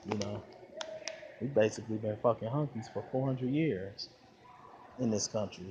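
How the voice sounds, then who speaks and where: Noticeable background noise behind a man with an American accent, medium pitch and ordinary pitch variation. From Flint, Michigan, US Midwest. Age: 30s. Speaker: YouTuber. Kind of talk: casual vlog monologue. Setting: outdoors at a shopping mall. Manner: animated.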